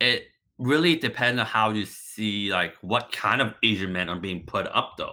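With an ordinary speaking voice, a man talks at a fairly low pitch and a moderate pace, using lively intonation. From Markham, Toronto area, Canada (born in Hong Kong). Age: late 20s. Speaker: podcast guest, former English teacher. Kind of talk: casual chat.

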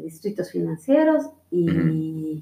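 A woman is speaking. Her pace is very slow. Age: 50s. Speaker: homemaker. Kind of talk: casual interview.

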